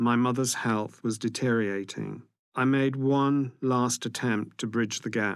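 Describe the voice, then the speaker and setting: Speaking fairly slowly with a British accent, a man keeps a flat monotone and very even loudness. The recording is very clean, with a silent background. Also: medium pitch for a man. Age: 60s. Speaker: person living with HIV. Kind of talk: testimony.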